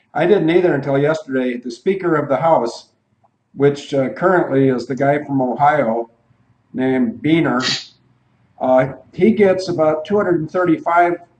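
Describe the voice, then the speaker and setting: This man has an unremarkable speaking voice and an American accent, pitched fairly high. He talks at a moderate pace with ordinary pitch variation. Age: 60s. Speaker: retired airline pilot, radio show co-host. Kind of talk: radio talk show, casual discussion.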